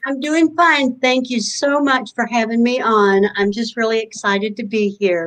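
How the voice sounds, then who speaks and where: Hardly pausing at all, a woman talks in a fairly high pitch with a Kentucky accent. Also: ordinary pitch variation, moderate pace. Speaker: holistic fair organizer, social worker. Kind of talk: interview. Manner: halting, many fillers.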